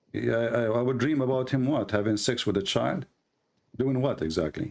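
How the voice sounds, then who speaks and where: With an Arabic accent and some vocal fry, a man talks at a moderate pace and medium pitch, using ordinary pitch variation and very even loudness. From Middle East. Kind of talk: live online debate.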